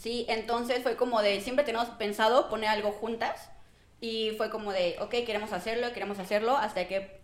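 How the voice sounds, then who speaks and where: A woman with a fairly high pitch speaks at a fairly quick pace, her intonation fairly even, while noticeable background noise runs underneath. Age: 20s. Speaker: business owner. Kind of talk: casual chat.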